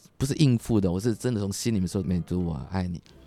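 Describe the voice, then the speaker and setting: A man speaks very fast with lively intonation and a dark, mellow tone. The recording is very clean, dry and close, with a silent background and no echo. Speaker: businessman, husband. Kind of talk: casual interview chat.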